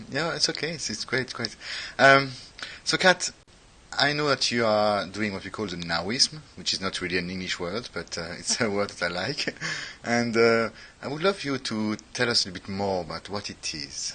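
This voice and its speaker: In a French accent, the speaker uses a bright, sharp tone and lively intonation at a moderate pace. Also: man, fairly low pitch for a man. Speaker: podcast host. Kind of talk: interview.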